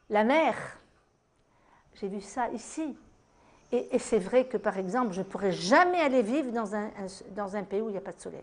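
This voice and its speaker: At a moderate pace, a woman with a fairly high pitch speaks with lively intonation, big swings in loudness, and long, frequent pauses. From Tunisia. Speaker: French resident of Tunisia interviewee. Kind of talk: interview testimony.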